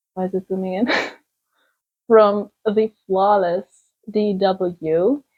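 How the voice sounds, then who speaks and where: A woman with a German accent at medium pitch, very slow pace, fairly even intonation, and long, frequent pauses. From Germany. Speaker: writer and video creator. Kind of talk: casual vlog Q&A.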